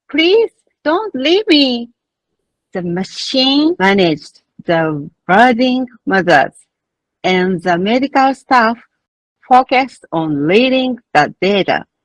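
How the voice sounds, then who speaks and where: Speaking at a very slow pace with long, frequent pauses, a woman with a Japanese accent uses a high pitch that moves in very wide swings. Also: dry, close sound with no echo. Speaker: midwife. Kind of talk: conference presentation. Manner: formal.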